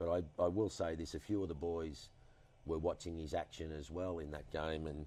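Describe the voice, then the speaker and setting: A man's very deep, low voice with a dark, mellow tone, fairly even intonation and an Australian accent. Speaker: former cricketer and TV personality. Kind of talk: interview answer. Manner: charismatic, humorous storytelling.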